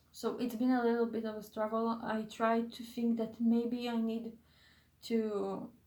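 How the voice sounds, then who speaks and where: The woman's voice is fairly high and monotone, with flat intonation. She speaks fairly slowly, and room echo can be heard. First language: not English. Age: 20s. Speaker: YouTuber / vlogger. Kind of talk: casual vlog monologue. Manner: halting, many fillers and self-corrections.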